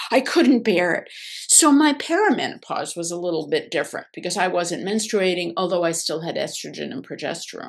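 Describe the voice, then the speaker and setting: At a fairly quick pace, a woman with an American accent speaks at a medium pitch with lively intonation. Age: 60s. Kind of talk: casual chat. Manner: halting.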